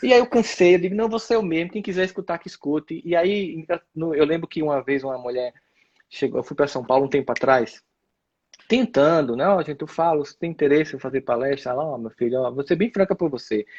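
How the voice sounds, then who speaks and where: This man has a plain, everyday voice, fairly high in pitch and delivered at a fairly quick pace. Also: lively intonation. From Northeast Brazil, Campina Grande, Paraíba. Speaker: speaker and lecturer. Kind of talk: casual chat. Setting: live stream.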